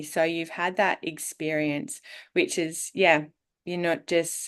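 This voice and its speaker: The speaker has an Australian accent and a moderate pace. The background is quiet. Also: woman. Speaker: podcast host, well-being coach. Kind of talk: interview.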